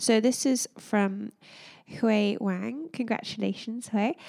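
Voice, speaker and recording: A woman's fairly high voice at a fairly slow pace with ordinary pitch variation, an unremarkable speaking voice, dry and close with no echo on a very clean recording with a silent background. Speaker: podcast co-host.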